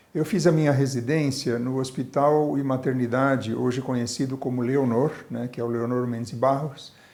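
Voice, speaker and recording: Audible room echo surrounds a man's medium-pitched voice. His intonation stays fairly even. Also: hardly any pauses. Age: 60s. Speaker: obstetrician and medical professor. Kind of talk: oral history interview.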